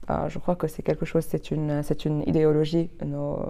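A woman speaks at a fairly slow pace in a very deep, low voice with a dark, mellow tone. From Lebanon, Chouf region. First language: Arabic (speaking French). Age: 20s. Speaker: law student. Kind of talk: interview. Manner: halting, many repetitions.

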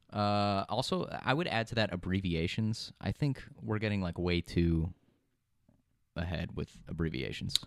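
A normal speaking voice with ordinary pitch variation talks at a fairly slow pace on a very clean recording with a silent background. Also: man, fairly low pitch for a man. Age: 20s. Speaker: podcast co-host and producer. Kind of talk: casual chat. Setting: studio.

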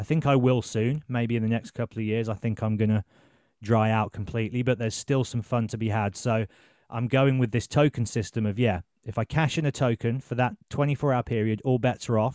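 In a Birmingham accent, a man talks at a fairly quick pace and medium pitch with fairly even intonation, the sound dry and close with no echo and a quiet background. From England, Birmingham. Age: 30s. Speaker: journalist and podcast host. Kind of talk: casual chat.

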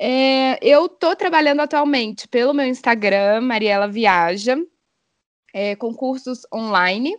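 With an ordinary speaking voice, a woman talks at a fairly slow pace with ordinary pitch variation, in a dry, close sound with no echo. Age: 30s. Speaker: dive instructor and biologist. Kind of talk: podcast interview.

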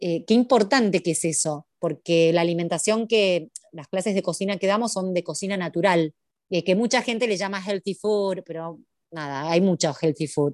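A woman uses a normal speaking voice at medium pitch and a moderate pace, recorded with a dry, close sound and no echo. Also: ordinary pitch variation. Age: 30s. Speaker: cooking and art teacher. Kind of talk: interview.

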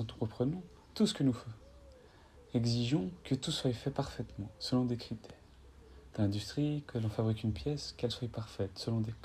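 This man's voice is somewhat breathy. He leaves long, frequent pauses. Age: 20s. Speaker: spiritual podcaster. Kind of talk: improvised spiritual monologue with guided breathing. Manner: halting, repeats words.

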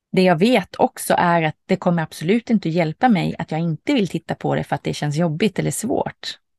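A woman's fairly low voice with vocal fry, lively intonation, a fairly quick pace, and hardly any pauses, in a dry, close sound with no echo against a quiet background. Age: 40s. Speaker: podcast host. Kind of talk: reflective monologue.

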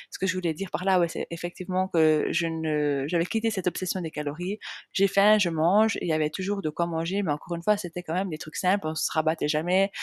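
On a very clean recording with a silent background, a woman speaks at a very fast pace with fairly low pitch and fairly even intonation. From Switzerland, Jura region. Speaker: nutrition coach and podcast host. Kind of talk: personal storytelling monologue. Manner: unscripted, hesitant with fillers.

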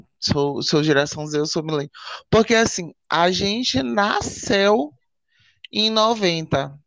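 A man with a high pitch speaks at a very slow pace. The background is quiet. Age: 20s. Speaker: podcast co-host. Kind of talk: casual chat. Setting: lying in a hammock in his bedroom. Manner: animated.

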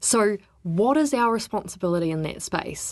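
Here a woman is speaking. She has a New Zealand accent. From New Zealand, Wellington. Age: 30s. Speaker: freshwater ecologist and regional councillor. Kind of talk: interview.

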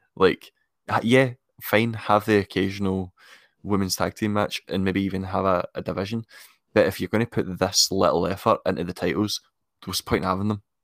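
In a Scottish accent, a man with a fairly low voice speaks at a fairly quick pace and with fairly even intonation, on a very clean recording with a silent background. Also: dry, close sound with no echo. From Scotland. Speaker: wrestling podcast co-host. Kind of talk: casual chat.

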